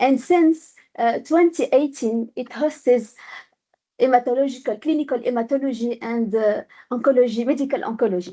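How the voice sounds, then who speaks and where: A woman with a high voice and a dark, mellow tone speaks at a moderate pace. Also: ordinary pitch variation. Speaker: hematologist. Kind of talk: conference talk. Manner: halting.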